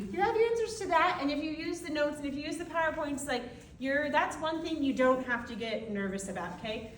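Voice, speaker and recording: Loud and very fast, a woman speaks at a high pitch with very wide pitch swings and audible room echo. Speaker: anatomy college instructor. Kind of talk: lecture. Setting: classroom. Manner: animated.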